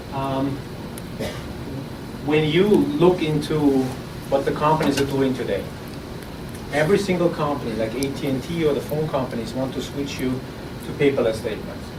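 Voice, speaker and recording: Over noticeable background noise and audible room echo, a man with a fairly high pitch speaks with long, frequent pauses. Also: ordinary pitch variation, moderate pace. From Austria. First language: German. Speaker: startup founder. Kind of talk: pitch presentation. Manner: halting, with repeated words.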